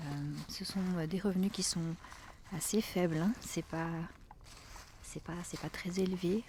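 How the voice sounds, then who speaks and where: Over noticeable background noise, a woman talks at a fairly slow pace and medium pitch, with a gentle tone and fairly even intonation. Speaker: ASMR creator. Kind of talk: casual talk to camera, ASMR chat. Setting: outdoors, forest walk. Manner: soft, gentle, whispery.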